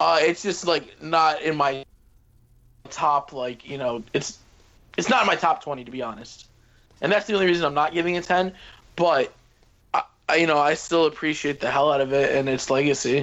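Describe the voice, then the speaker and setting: At a moderate pace with long, frequent pauses, a man speaks at a fairly high pitch with ordinary pitch variation. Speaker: podcast host. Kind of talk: casual chat.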